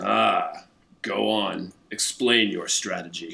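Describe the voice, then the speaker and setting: Speaking very slowly, a man uses a raspy, put-on character voice. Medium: machinima. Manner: easily distracted.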